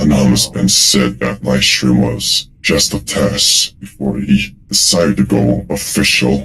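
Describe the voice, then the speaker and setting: A man puts on a character voice, pitched fairly low. He speaks at a fairly slow pace. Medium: game stream. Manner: haughty, scolding.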